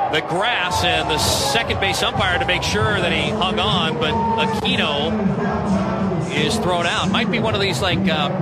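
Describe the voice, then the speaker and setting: Music in the background behind a man's high voice, fairly slow pace and very even loudness. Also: ordinary pitch variation. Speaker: baseball radio play-by-play announcer. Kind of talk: live baseball radio play-by-play commentary.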